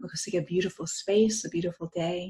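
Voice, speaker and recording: With an American accent, a woman talks at a moderate pace in a medium pitch. Her intonation is monotone and flat. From United States. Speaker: near-death experience speaker. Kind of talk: talk to a group. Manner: halting.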